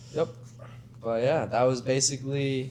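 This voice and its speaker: Audible room echo and noticeable background noise surround the voice. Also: man. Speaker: brand co-founder, podcast co-host. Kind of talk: casual chat.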